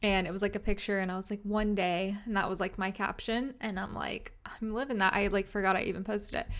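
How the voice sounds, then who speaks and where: Against a silent background in a very clean recording, a woman with an American accent speaks at a very fast pace with hardly any pauses and flat, monotone intonation. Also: medium pitch for a woman. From US South, Arkansas (Little Rock). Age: 20s. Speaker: fitness and nutrition coach, podcaster. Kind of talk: casual unscripted monologue. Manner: casual, filler-heavy.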